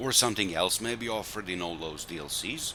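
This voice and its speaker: At a moderate pace, a man with a non-native accent speaks in a very deep, low pitch. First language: not English. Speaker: gaming video creator. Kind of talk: gameplay commentary. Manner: halting, with self-corrections.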